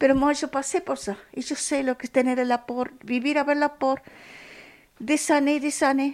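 A woman's high voice with a Spanish accent, fairly slow, on a very clean recording with a silent background. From Argentina. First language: Spanish (speaking French). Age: 70s. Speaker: guest with experience of homelessness. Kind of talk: interview testimony.

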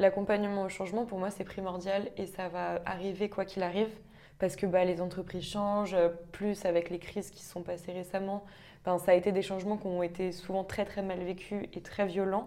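Her medium-pitched voice has a dark, mellow tone and a monotone, flat intonation. The woman talks at a fairly quick pace with big swings in loudness. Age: 20s. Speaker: management consultant. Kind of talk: casual interview.

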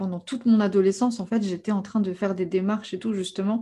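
Against a quiet background, a woman at medium pitch speaks at a fairly quick pace with fairly even intonation and a somewhat breathy, dark, mellow tone. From France. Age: 30s. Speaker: life coach. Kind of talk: interview.

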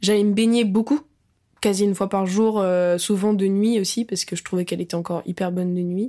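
On a very clean recording with a silent background, a woman's dark, mellow voice sits at medium pitch with fairly even intonation. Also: fairly quick pace. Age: 20s. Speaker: actress and musician. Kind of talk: casual chat.

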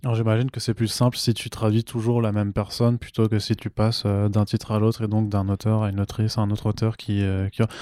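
A man talks at a very fast pace in a fairly low, dark, mellow voice with monotone, flat intonation, captured in a very clean recording with a silent background and a dry, close sound with no echo. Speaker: podcast host. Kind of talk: casual interview. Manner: subdued.

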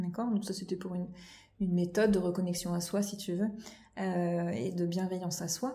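In a room with audible echo, a woman speaks at a moderate pace in a somewhat breathy, medium-pitched voice with a dark, mellow tone, ordinary pitch variation, and long, frequent pauses. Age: 30s. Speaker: children's creative drawing teacher. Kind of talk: casual chat. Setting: at the host's home. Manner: halting.

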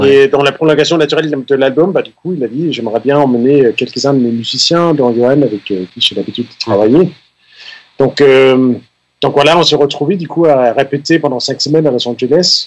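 Ordinary pitch variation with big swings in loudness. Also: man, fairly high pitch for a man, moderate pace. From Denmark. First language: Danish (speaking French). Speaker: keyboard player. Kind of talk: radio interview. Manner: halting.

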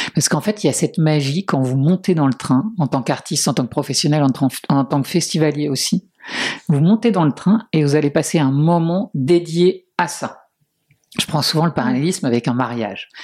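A woman speaks at a moderate pace in a very deep, low voice with a dark, mellow tone and lively intonation. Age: 40s. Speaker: festival founder and cultural events organiser. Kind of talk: interview.

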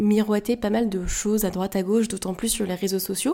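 On a very clean recording with a silent background, a woman with a dark, mellow tone speaks at a moderate pace with fairly even intonation. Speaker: podcast host, entrepreneur. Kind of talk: solo podcast monologue. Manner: hesitant, many fillers.

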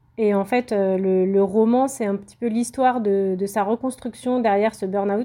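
A woman speaks at a medium pitch in a dark, mellow tone. Her intonation is fairly even. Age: 30s. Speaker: self-published novelist. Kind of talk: interview.

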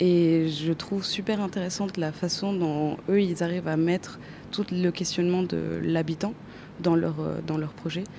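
With audible room echo, a woman speaks at a fairly slow pace and a fairly low pitch, her tone dark and mellow and her intonation monotone and flat. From Chile. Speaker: architecture student. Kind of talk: interview. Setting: exhibition hall.

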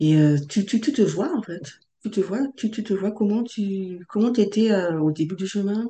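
Speaking at a fairly slow pace, a woman has a medium pitch, a dark, mellow tone, a somewhat breathy sound and ordinary pitch variation. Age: 30s. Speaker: transformation facilitator. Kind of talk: podcast interview. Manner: halting.

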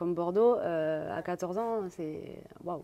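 Her voice sits fairly low for a woman. The tone comes across dark and mellow. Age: 30s. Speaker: professional handball player. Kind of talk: interview.

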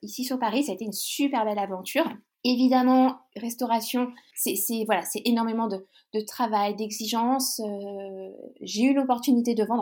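The tone is dark and mellow. Speech moves at a fairly slow pace. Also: woman. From Brittany, France (near Brest). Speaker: guest describing her lifestyle. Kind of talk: casual interview chat. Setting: recording from her houseboat. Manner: hesitant, many repetitions.

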